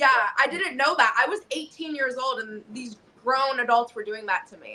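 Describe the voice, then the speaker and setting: A woman's high-pitched, raised and projected voice, bright and sharp in tone, animated, with big swings in loudness, ordinary pitch variation and a moderate pace. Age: 30s. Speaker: professional wrestler. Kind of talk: interview.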